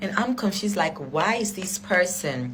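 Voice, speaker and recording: Spoken with lively intonation and a non-native accent, the clip carries noticeable background noise and audible room echo. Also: woman. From Africa. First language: not English. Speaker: vlogger. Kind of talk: storytelling. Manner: casual.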